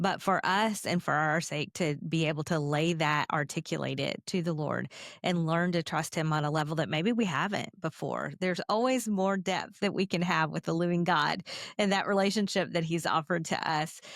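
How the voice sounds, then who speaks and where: A normal speaking voice at a moderate pace, very even in loudness, with ordinary pitch variation, on a very clean recording with a silent background. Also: woman, fairly low pitch for a woman. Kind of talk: interview.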